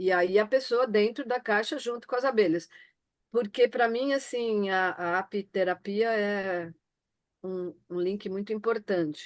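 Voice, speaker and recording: Against a quiet background, a woman talks at a fairly slow pace and a medium pitch with ordinary pitch variation. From Florianópolis, southern Brazil. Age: 60s. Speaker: participant sharing orgone box experiences. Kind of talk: personal testimony in group video meeting. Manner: hesitant, many fillers and restarts.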